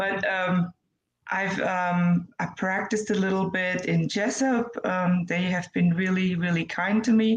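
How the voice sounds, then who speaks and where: A woman with a German accent speaks at a medium pitch and a fairly slow pace, somewhat breathy, with fairly even intonation. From Germany. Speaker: nurse, infection control specialist. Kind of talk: interview. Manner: halting, many fillers.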